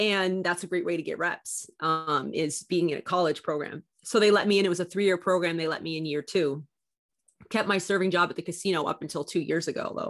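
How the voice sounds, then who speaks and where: A normal speaking voice from a woman with a Canadian accent, fairly low in pitch, at a fairly quick pace with fairly even intonation, on a very clean recording with a silent background. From Canada. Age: 30s. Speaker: basketball broadcaster and former college athlete. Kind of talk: casual interview chat.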